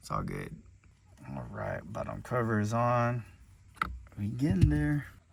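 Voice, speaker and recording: A man with a fairly low voice talks fairly slowly with very wide pitch swings and long, frequent pauses in a room with audible echo. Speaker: car enthusiast youtuber. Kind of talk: casual DIY commentary. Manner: casual.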